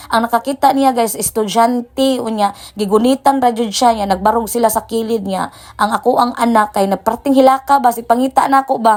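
A woman with a fairly high pitch speaks with a Philippine accent. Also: fairly even intonation. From Visayas, Philippines. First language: Cebuano (speaking Tagalog). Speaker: vlogger. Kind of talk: travel vlog narration.

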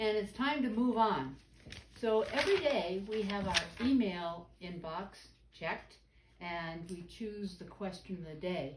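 A woman talks at a fairly slow pace with big swings in loudness, light background noise and audible room echo. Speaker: painting instructor. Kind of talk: tutorial. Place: studio. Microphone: camera far.

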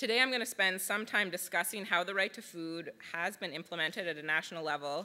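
A woman's fairly low voice, bright and sharp in tone, at a fairly quick pace. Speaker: public interest lawyer. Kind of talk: conference presentation. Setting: stage with audience. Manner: formal. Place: hall. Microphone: podium.

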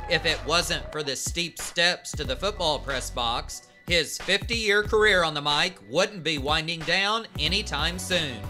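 Music playing underneath, a fairly slow pace, and hardly any pauses. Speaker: TV feature reporter narrating. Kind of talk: TV news feature voiceover.

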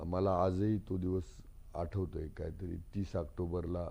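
With a dark, mellow tone, a man speaks in a very deep, low pitch and a monotone, flat intonation. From Akole taluka, Ahmednagar district, Maharashtra. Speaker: politician and doctor. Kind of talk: interview.

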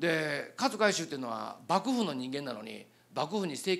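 A man with a fairly high pitch and vocal fry makes very wide pitch swings. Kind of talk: lecture. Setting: stage with audience. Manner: animated. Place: hall. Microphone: handheld.

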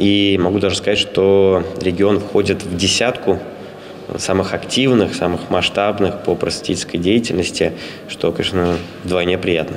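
Over light background noise, a man speaks at a moderate pace with a fairly low pitch. His loudness stays very even and his intonation fairly even. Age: young. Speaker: head of an educational organization. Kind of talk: interview. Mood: calm, pleased. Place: hall. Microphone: handheld.

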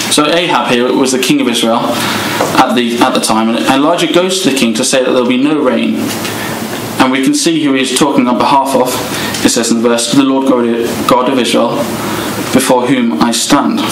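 The speech moves at a moderate pace with ordinary pitch variation over noticeable background noise. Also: man. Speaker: speaker. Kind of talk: sermon.

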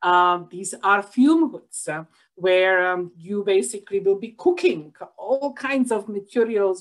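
The pace is moderate and the intonation lively. The background is quiet. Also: woman. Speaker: professor presenting research. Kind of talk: lecture. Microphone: webcam.

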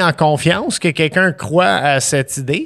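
A man's fairly high voice with an English accent at a very slow pace, against a quiet background. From Montreal (east end), Quebec. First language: English (speaking French). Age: 40s. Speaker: chef; podcast guest. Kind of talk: casual chat. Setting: studio. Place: studio. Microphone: studio mic.

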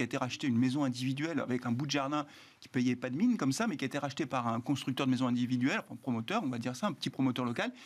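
A man speaking at a very fast pace, with ordinary pitch variation. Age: 50s. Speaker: economist and town mayor; town mayor. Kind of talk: panel discussion. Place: studio. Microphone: lapel.

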